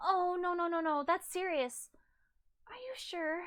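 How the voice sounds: Putting on a character voice, a woman speaks with an extremely high pitch and a fairly bright tone at a fairly slow pace with lively intonation.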